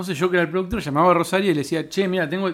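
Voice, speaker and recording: The recording is very clean with a silent background. In it, a man speaks at a high pitch. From Cipolletti, Río Negro, Argentina. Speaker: stand-up comedian. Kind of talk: casual chat.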